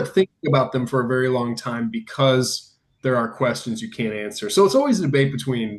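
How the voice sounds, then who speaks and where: In a plain, everyday voice, a man talks at a fairly quick pace with lively intonation. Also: medium pitch for a man. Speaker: podcast host. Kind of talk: casual interview conversation.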